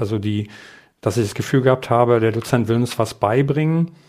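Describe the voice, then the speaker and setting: A man with an unremarkable speaking voice, medium in pitch, at a fairly quick pace. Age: 50s. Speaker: adult education lecturer. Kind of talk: interview.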